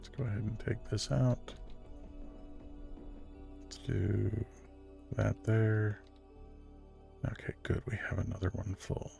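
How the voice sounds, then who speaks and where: Over music in the background, a man talks at a very slow pace with long, frequent pauses and big swings in loudness. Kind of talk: ASMR gameplay narration, soft-spoken relaxing talk. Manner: soft-spoken, relaxing.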